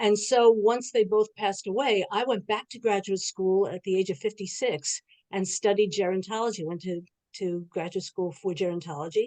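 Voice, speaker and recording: Speaking in a New York accent, a woman has a medium pitch with ordinary variation and a dark, mellow tone. Her loudness swings widely, and the sound is dry and close with no echo. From New York City. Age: 70s. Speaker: social gerontologist. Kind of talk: online panel introduction. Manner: fast.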